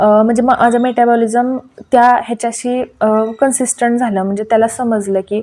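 A woman's fairly high voice, dark and mellow in tone, with fairly even intonation. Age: 30s. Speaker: YouTube cooking and diet vlogger. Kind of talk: casual vlog reading out viewer comments.

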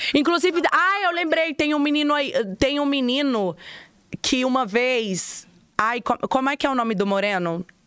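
Over a quiet background, a woman with a high pitch speaks at a moderate pace with very wide pitch swings and very even loudness, in a dry sound with no echo. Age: 30s. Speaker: podcast host. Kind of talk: casual chat. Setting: studio. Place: studio. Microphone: studio mic.

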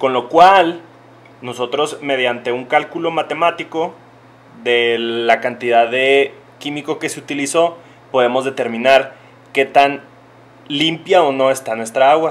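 The pitch of this man's voice varies in an ordinary way. He keeps a fairly slow pace. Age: 20s. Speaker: chemical engineer. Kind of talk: educational talk for young children. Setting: industrial power plant, partly outdoors. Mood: friendly, encouraging. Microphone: phone near.

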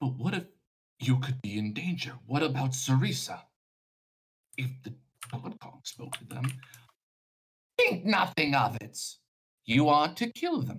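A man speaks in a put-on character voice at a medium pitch. His pace is moderate, broken by long, frequent pauses. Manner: stern, suspicious.

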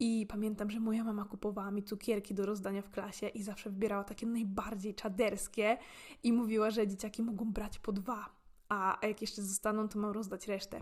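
A very fast, somewhat breathy woman's voice at medium pitch, monotone and flat in intonation. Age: 20s. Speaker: podcaster. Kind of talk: casual monologue. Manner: talkative.

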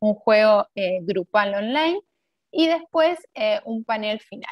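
A woman's fairly high voice with lively intonation over a quiet background. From Argentina. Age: 30s. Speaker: HR manager. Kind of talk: webinar presentation. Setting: video call. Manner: hesitant, many fillers and repetitions. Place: home room. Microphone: webcam.

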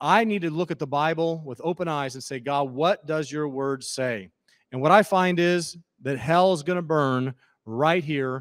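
Against a quiet background, a man with an American accent speaks at a fairly slow pace. His pitch is fairly high, with ordinary pitch variation. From Missouri. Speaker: pastor. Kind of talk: sermon. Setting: church. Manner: halting. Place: church. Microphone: handheld.

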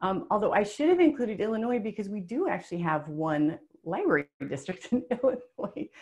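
A woman with an American accent speaks at a fairly quick pace in a fairly high, somewhat breathy voice. Her pitch swings very widely, and the background is quiet. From US small town. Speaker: webinar presenter. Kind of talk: webinar presentation. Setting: webinar. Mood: friendly, upbeat. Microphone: webcam.

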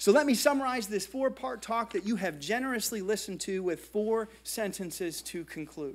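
Using lively intonation and hardly any pauses, a man with an American accent talks at a moderate pace and a high pitch. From US (New Jersey, Indiana; partly Brazil). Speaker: art history professor. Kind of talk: lecture. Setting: stage with audience. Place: hall.

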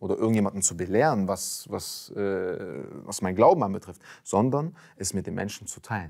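Against a quiet background, a man with a fairly low voice speaks at a moderate pace with lively intonation. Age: young. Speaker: convert sharing faith story; interview guest. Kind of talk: testimony. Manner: halting with many fillers. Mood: calm, reflective, personal. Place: studio. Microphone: lapel.

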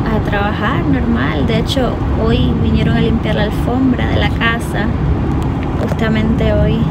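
A woman talks at a fairly slow pace. Loud background noise runs behind her. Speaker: vlogger. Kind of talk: casual vlog chat. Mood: relaxed storytelling. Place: car. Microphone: phone near.

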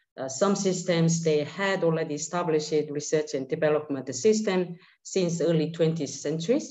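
A woman with a normal speaking voice, fairly low pitch, ordinary pitch variation and a moderate pace. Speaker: panelist. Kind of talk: panel presentation. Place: home room. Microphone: webcam.

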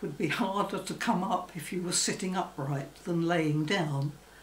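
This woman's voice sits fairly low, with ordinary pitch variation. Audible room echo and light background noise surround her. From England. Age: 80s+. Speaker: former phobia sufferer. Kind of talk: testimony. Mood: calm, reflective. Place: home room.

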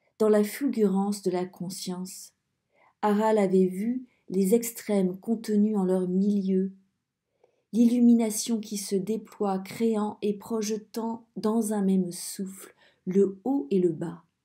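Very slowly, a woman speaks at a medium pitch with a dark, mellow tone and fairly even intonation. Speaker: audiobook reader. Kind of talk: dramatic narration. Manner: slow, hushed, suspenseful storytelling.

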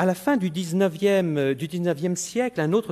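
Lively in intonation, a man speaks with a high pitch and a dark, mellow tone. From France. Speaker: meteorologist; lecturer. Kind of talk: formal lecture. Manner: slightly halting with repetitions. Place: hall. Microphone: podium.

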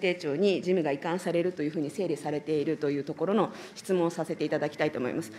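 A woman talks at a very fast pace. Light background noise is present. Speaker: legislator questioning ministers. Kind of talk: parliamentary committee questioning. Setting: parliamentary committee room. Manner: formal, polite with many fillers. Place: hall. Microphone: podium.

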